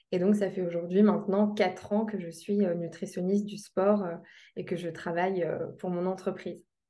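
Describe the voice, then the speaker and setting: Audible room echo surrounds a woman with a dark, mellow tone at medium pitch. She keeps a moderate pace with monotone, flat intonation. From Lorraine, France (Metz). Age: 20s. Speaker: sports nutritionist. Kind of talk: interview.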